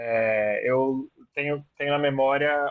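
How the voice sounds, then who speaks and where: Fairly even intonation comes through in a dry, close sound with no echo. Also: man. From moved around Brazil; born Rio Grande do Sul, teens in Campo Grande. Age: 30s. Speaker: teacher. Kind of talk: oral history interview.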